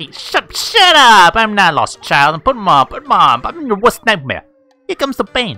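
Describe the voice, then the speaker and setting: Putting on a character voice in a Brooklyn accent, a woman speaks at a moderate pace in a fairly high pitch with very wide pitch swings as faint music plays in the background. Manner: aggressive, threatening.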